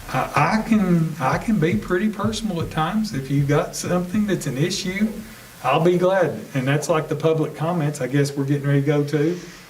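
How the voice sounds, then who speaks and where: Speaking at a fairly quick pace with an American accent, a man with a fairly high pitch and ordinary pitch variation is heard over noticeable background noise and audible room echo. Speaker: school superintendent. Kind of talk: board meeting discussion. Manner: loud; hesitant fillers.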